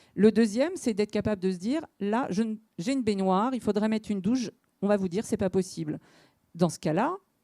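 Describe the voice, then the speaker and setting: A woman with a dark, mellow tone speaks at a medium pitch with ordinary pitch variation, big swings in loudness and hardly any pauses, in a very clean recording with a silent background and a dry, close sound with no echo. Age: 40s. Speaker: local elected official. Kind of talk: panel discussion. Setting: conference hall with audience.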